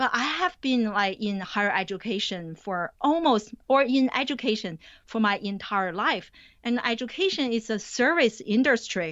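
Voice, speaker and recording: A woman talks with a Chinese accent. Her voice is fairly high, with lively intonation. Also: moderate pace. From China. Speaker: college professor. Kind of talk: interview.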